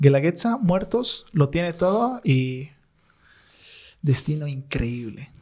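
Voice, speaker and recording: With a dark, mellow tone that is somewhat breathy, the voice moves at a very slow pace with long, frequent pauses and very wide pitch swings. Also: man, fairly high pitch for a man. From Bolivia. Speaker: content creator and storyteller. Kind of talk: podcast interview answer.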